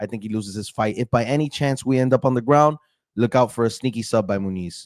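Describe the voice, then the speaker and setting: A man speaks at a very fast pace in an animated tone. The recording is very clean with a silent background, dry and close with no echo. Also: medium pitch for a man, ordinary pitch variation. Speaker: MMA YouTuber giving fight predictions. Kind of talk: casual prediction monologue.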